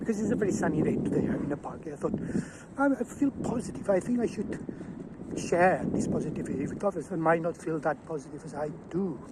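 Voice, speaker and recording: Against noticeable background noise, a high-pitched man talks very fast with lively intonation. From Catalonia, Spain. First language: Catalan. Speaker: zoologist. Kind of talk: personal talk to camera. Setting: outdoors in a park. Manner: halting.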